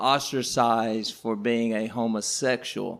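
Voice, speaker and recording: Speaking at a fairly slow pace with an Arkansas accent, a man is heard on a very clean recording with a silent background. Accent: Southern US (Arkansas). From Southeast Arkansas. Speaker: history teacher, podcast panelist. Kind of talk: casual panel discussion. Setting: live recording at a coffee house.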